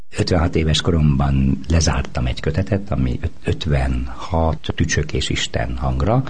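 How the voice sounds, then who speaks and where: Over noticeable background noise and audible room echo, a man talks with a very deep, low pitch and ordinary pitch variation. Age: 60s. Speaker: poet. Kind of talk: interview. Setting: radio interview.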